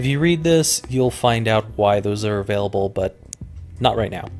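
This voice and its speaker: A man with an American accent, noticeable background noise behind him. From Colorado. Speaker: gaming YouTuber. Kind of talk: let's play commentary. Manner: casual, with frequent fillers.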